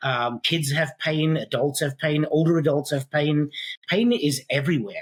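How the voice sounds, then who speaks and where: A man with a South African accent speaks at a moderate pace in a fairly high, somewhat breathy voice, with ordinary pitch variation, very even loudness and a dry, close sound with no echo. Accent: South African (self-described funny accent). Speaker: physical therapist and pain science educator. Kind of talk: podcast interview. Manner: many filler ums.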